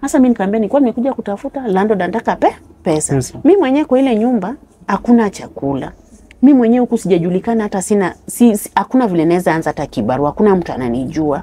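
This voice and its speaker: Her pitch swings very widely. The woman's pace is very fast. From Kenya, Homa Bay County (Luo); Kenya. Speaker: interview guest telling life story; interview guest. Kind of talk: personal testimony. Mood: sad, recounting hardship. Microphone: lapel.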